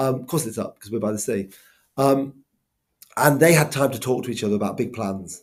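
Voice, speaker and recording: A man's fairly high voice with a Welsh accent and lively intonation. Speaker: school head teacher. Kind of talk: school video update. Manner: casual, lots of ums.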